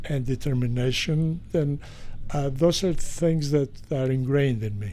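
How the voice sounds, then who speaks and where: Dark, mellow tone from a man with a fairly high pitch, ordinary pitch variation and a moderate pace. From Greece. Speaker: retired physician, golfer. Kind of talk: interview testimony. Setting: outdoors on golf course. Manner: hesitant with fillers.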